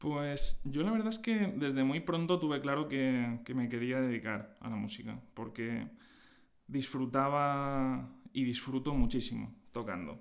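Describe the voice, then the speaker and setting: Audible room echo surrounds a man speaking at a medium pitch. His pace is fairly slow and his intonation lively. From Spain, Alicante (Valencia region). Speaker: orchestral clarinetist. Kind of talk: interview. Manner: hesitant, frequent fillers.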